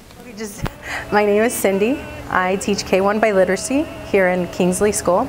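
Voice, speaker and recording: Speaking at a moderate pace with a medium pitch and ordinary pitch variation, a woman shows big swings in loudness amid noticeable background noise. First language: Spanish. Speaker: bilingual elementary teacher. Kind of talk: personal testimony.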